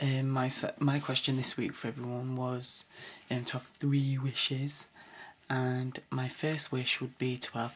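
The speaker talks at a fairly slow pace. The voice is quiet. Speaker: vlogger. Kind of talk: casual vlog. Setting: home at night. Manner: quiet, hushed; hesitant, many fillers. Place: home room. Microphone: webcam.

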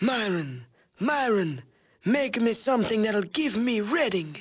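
In a put-on character voice, a man speaks fairly slowly, high-pitched and wheezy, with very wide pitch swings. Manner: demanding, scheming.

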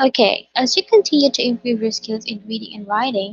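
Natural-voiced reading aloud, pitch varying in the ordinary way

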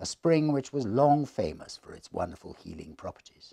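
A man speaks at a moderate pace in a dark, mellow tone with vocal fry and a dramatic delivery over a quiet background. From England. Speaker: reader and storyteller. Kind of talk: ghost story reading aloud. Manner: measured, dramatic storytelling pace; formal, atmospheric narration. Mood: hushed, atmospheric ghost-story tone. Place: home room.

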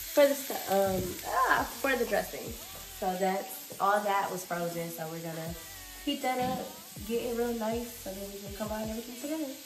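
The loudness swings widely against noticeable background noise. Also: woman, moderate pace. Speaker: home cooking vlogger. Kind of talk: casual vlog chat. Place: kitchen. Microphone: phone near.

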